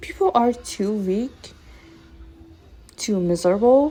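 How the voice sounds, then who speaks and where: A woman with a non-native accent speaks at a fairly slow pace, with medium pitch and lively intonation. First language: not English. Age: 20s. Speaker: self-help vlogger. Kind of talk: motivational monologue to camera. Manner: animated.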